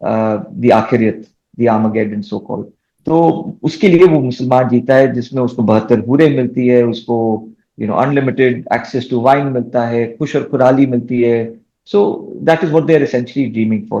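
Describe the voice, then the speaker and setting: Speaking at a moderate pace, a man with a Bengali accent has a medium pitch, a dark, mellow tone and ordinary pitch variation. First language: Bengali (speaking Hindi). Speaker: debate panelist. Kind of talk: debate interview. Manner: mixes Hindi and English.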